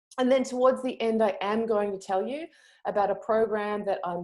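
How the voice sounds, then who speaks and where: A woman speaks with a dark, mellow tone at a moderate pace. The background is quiet. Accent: Australian. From Australia. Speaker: yoga teacher and online marketing trainer; yoga teacher, online marketing trainer. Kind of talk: webinar training. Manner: hesitant, many fillers. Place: home room. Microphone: earbuds.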